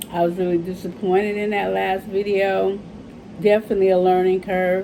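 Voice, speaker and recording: A woman at medium pitch talks with monotone, flat intonation. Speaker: beauty vlogger. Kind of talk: makeup tutorial. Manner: casual, chatty.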